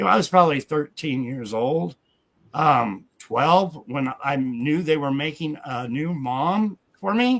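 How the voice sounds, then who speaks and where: With a plain, everyday voice, a man speaks at a fairly slow pace, his fairly high pitch carrying lively intonation. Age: 60s. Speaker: guest claiming famous identity. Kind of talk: interview.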